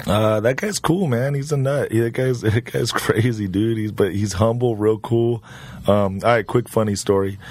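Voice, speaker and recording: A man with an American accent speaks at a moderate pace. His pitch is medium and varies in an ordinary way. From US West Coast, Orange County, California. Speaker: actor. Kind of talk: casual chat.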